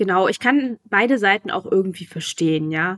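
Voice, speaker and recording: In a dry, close sound with no echo, a woman speaks at a moderate pace and medium pitch with ordinary pitch variation. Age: 20s. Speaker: author and newspaper editor. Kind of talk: interview. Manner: hesitant, many fillers.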